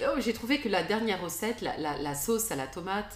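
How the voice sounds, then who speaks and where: The speaker is a woman with a fairly high-pitched voice. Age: 40s. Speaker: podcast host. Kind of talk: casual chat. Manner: halting.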